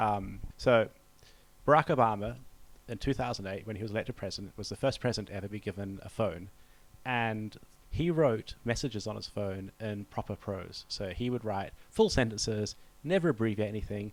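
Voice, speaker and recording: Speaking in a New Zealand accent, a man talks at a fairly quick pace with a fairly low pitch. His loudness swings widely. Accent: Kiwi. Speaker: diplomat. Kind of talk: interview. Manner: hesitant, with fillers.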